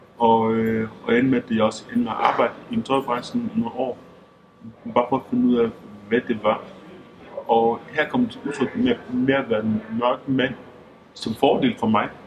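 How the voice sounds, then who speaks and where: A man talks at a fairly slow pace with long, frequent pauses. Noticeable background noise is present. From Denmark, Skanderborg and central Jutland. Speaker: interviewee, football referee. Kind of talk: documentary interview. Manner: halting, many fillers and repetitions.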